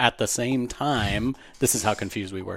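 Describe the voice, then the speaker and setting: A man with an American accent, fairly quick pace and fairly even intonation, in a very clean recording with a silent background. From Florida (Pensacola), raised from 13; early years California. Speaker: entrepreneur. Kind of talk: interview.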